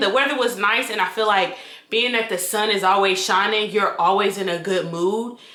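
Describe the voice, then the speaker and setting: A woman's relaxed, medium-pitched voice with an American accent and ordinary pitch variation, amid audible room echo and noticeable background noise. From North Carolina, Raleigh. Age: 20s. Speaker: vlogger and registered nurse. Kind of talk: casual get-to-know-me vlog. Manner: chatty, relaxed.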